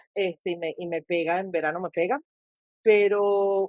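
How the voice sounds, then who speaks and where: A woman with a Caracas accent is heard in a dry, close recording with no echo. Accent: Caracas Venezuelan, unchanged. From Caracas, Venezuela. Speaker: podcast host. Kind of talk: podcast interview.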